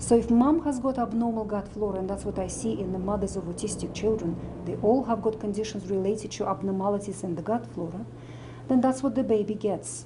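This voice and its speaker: The speech has a Russian accent and a fairly quick pace with ordinary pitch variation. Room echo can be heard. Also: woman, medium pitch for a woman. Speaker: medical doctor and nutritionist. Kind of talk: interview talk.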